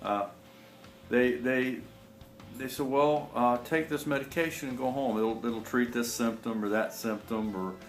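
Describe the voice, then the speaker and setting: Music plays behind a man with a medium-pitched voice and ordinary pitch variation. He talks at a fairly slow pace, and the room echo is audible. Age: 60s. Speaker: naturopathic health promoter. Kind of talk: personal testimony. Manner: halting, many fillers and repetitions.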